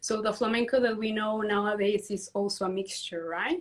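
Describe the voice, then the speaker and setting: A woman talks with a Spanish accent. Her intonation is monotone and flat. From Peru. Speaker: dance teacher and community founder. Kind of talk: interview on a livestream.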